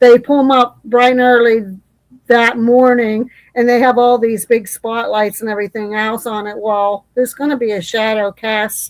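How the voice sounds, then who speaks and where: With a plain, everyday voice, a woman speaks at a fairly high pitch and moderate pace, her intonation fairly even. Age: 60s. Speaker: live stream host. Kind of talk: casual chat.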